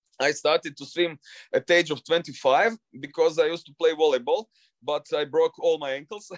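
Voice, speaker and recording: A man speaks at a fairly quick pace in a Croatian accent, his pitch fairly high with ordinary variation. The sound is dry and close, with no echo. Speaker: long-distance swimmer. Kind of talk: interview. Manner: halting.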